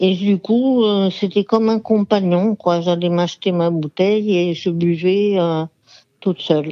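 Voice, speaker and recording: Her medium-pitched voice moves at a fairly slow pace, the woman keeping fairly even intonation and very even loudness. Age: 60s. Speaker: former alcoholic giving testimony. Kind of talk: phone interview testimony. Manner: halting, many hesitations.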